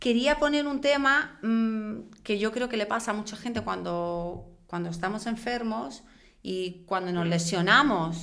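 Her tone is bright and sharp, her pitch fairly high, her intonation lively. Audible room echo surrounds the woman's voice. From outside Spain. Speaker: triathlon podcast co-host. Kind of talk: casual chat.

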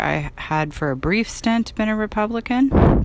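Amid noticeable background noise, a woman with an American accent speaks at a fairly slow pace with lively intonation. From San Francisco, US West Coast. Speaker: political podcast host. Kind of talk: casual monologue. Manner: off the cuff, impromptu.

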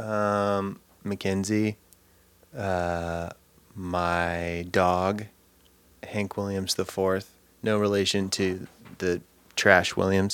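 A man with an American accent speaks very slowly at a very deep, low pitch in a monotone, flat delivery with long, frequent pauses. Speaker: podcast host, songwriter. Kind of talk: casual chat. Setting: remote recording during pandemic.

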